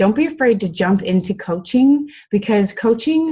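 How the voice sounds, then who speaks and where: A woman's somewhat breathy, dark and mellow voice in an Iowa accent, at a moderate pace. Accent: Iowa accent, noticeable in Texas. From US Midwest, Iowa. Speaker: fitness coach. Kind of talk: motivational talk on group call. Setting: conference call with screen share. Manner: casual, many fillers (um, I mean).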